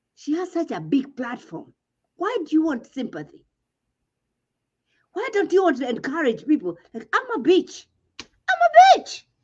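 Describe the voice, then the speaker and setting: A woman with a Kenyan accent speaks in a high voice at a moderate pace, her pitch swinging very widely and her loudness rising and falling sharply, with long pauses coming often. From Kenya, village upbringing. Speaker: reality TV commentator. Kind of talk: casual chat. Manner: animated.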